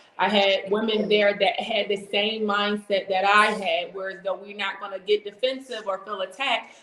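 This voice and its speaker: A woman with an American accent at medium pitch, fairly slow pace and fairly even intonation, with noticeable background noise. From US Northeast, Chester, Pennsylvania. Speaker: motivational speaker. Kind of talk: interview.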